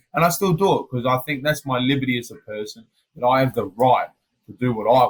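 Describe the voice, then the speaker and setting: Somewhat breathy and in an Australian accent, a man talks at a very fast pace with a medium pitch. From Australia, Adelaide. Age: 30s. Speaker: MMA fighter. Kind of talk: casual interview chat. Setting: hotel quarantine room. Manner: animated.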